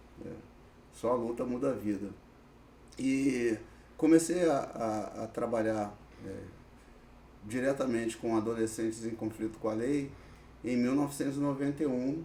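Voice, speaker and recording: Ordinary pitch variation and long, frequent pauses from a man of medium pitch at a moderate pace. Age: 60s. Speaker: social worker with youth offenders. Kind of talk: podcast interview. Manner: hesitant, many fillers.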